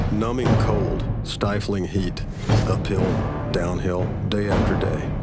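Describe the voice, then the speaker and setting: The sound is dry and echo-free, with loud noise in the background. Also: man. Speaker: narrator. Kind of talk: movie trailer.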